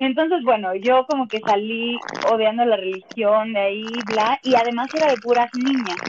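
There is noticeable background noise. Over it, a woman with a fairly high pitch talks at a moderate pace, her pitch varying in an ordinary way. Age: 30s. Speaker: stage actress and musical performer. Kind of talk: casual chat.

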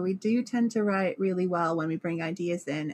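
A woman with a British accent and a medium pitch speaks at a fairly slow pace in a dark, mellow tone, the sound dry and close with no echo. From Britain. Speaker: songwriter. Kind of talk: casual chat.

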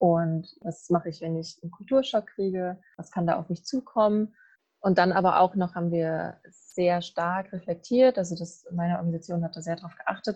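A woman speaks at a fairly quick pace in a dark, mellow tone, somewhat breathy. Her pitch is fairly low, with ordinary pitch variation. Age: 20s. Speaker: university student. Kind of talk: casual chat. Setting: video call from a garden.

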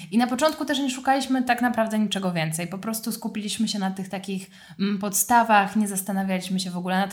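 On a very clean recording with a silent background, a woman speaks at medium pitch, somewhat breathy, with ordinary pitch variation. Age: 20s. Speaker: yoga teacher. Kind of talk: casual chat.

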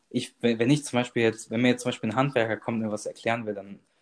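A man with an ordinary speaking voice talks at medium pitch with fairly even intonation. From Germany, Bonn. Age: 20s. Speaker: cooking content creator. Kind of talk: casual interview. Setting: remote call.

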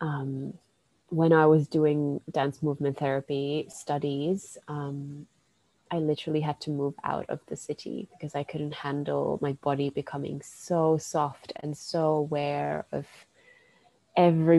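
A woman with a Finnish accent speaks at a fairly slow pace in a very deep, low pitch, her tone dark and mellow and her intonation monotone and flat. The sound is dry and close, with no echo. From Finland. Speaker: dance and bodywork practitioner. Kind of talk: casual interview.

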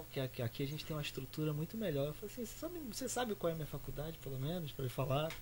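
Very fast, lively male speech pitched fairly high for a man, with hardly any pauses and noticeable background noise. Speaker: designer and youtuber. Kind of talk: casual chat.

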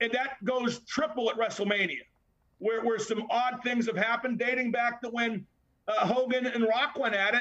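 A man's raised, projected voice, extremely high in pitch, moves at a moderate pace with fairly even intonation. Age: 60s. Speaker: wrestling podcast co-host. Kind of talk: casual chat.

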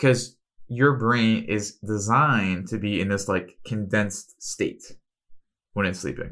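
The man's pitch is fairly low, with ordinary variation. The background is silent and the recording very clean. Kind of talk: solo health podcast monologue. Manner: fast; animated.

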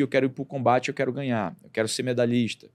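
A man speaks at medium pitch with an unremarkable speaking voice. His intonation stays fairly even. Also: very clean recording, silent background. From Brazil, Acre (Rio Branco). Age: 40s. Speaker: doctor and entrepreneur. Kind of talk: interview.

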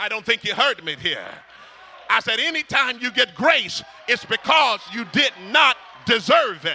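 Over noticeable background noise, a man talks in an animated tone at an extremely high pitch and a fairly slow pace, the sound dry and close with no echo. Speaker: preacher. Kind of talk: sermon. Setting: church with congregation. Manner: call-and-response, rousing, fervent; animated, exhorting the congregation.

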